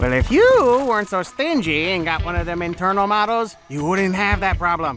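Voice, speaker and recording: Clear background noise sits behind this recording. A man with a high pitch talks at a moderate pace. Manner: brash, excitable, joking.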